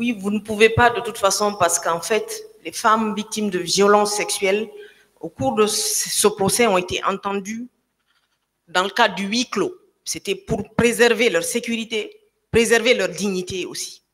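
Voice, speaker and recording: The background is quiet. A woman talks at a fairly slow pace. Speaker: civil party lawyer; witness. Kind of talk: courtroom questioning. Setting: courtroom. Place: hall. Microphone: podium.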